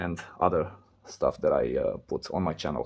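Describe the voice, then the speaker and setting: A man speaks with a Romanian accent. His tone is dark and mellow. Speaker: repair video creator. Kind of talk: tutorial. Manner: halting.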